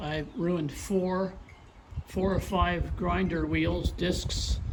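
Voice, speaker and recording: Noticeable background noise runs under a man who talks very slowly. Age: 70s. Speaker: retired homeowner doing DIY yard work. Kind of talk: casual talk to camera.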